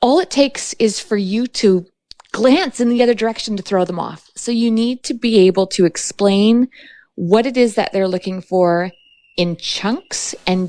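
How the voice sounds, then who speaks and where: A woman's fairly high voice in a western Canadian accent, with ordinary pitch variation. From British Columbia, Canada. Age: 40s. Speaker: fly fishing guide and podcast host. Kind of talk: interview conversation. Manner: fast; animated.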